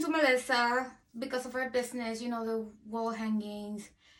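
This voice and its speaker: A woman with a non-native accent speaks in a high pitch at a moderate pace. Her tone is bright and sharp, her intonation fairly even. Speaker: cancer survivor. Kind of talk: testimony interview.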